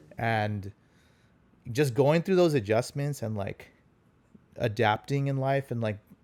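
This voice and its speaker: Using ordinary pitch variation, a man with a medium pitch talks at a fairly slow pace broken by long, frequent pauses. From US, Los Angeles (born in India, moved as small child). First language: Punjabi. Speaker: consultant, relationship guest. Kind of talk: casual interview chat.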